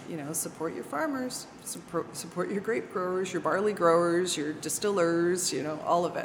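With a slight Canadian accent, a woman talks at a moderate pace in a fairly low voice with ordinary pitch variation, over noticeable background noise and audible room echo. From Canada, Toronto. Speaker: winery sales director. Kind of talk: interview. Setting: at a winery.

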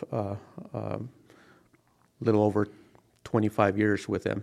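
With an American accent, a man talks at a moderate pace in a fairly low, monotone voice with flat intonation and vocal fry. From New Mexico, US Southwest (Taos). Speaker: retired police officer and army flight medic. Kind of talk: casual interview. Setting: studio, sitting beside the host.

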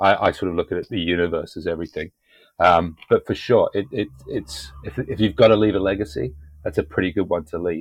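A speaker with a British accent talks at a fairly quick pace with ordinary pitch variation over a quiet background. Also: man, very deep, low pitch for a man. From UK. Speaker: podcast host. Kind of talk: casual interview.

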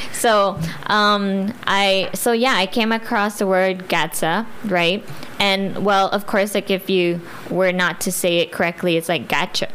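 Over noticeable background noise, the speaker talks at a very slow pace with very even loudness and fairly even intonation. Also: woman, medium pitch for a woman. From Guam. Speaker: clothing brand owner and nurse. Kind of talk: interview. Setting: studio. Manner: hesitant, many fillers.

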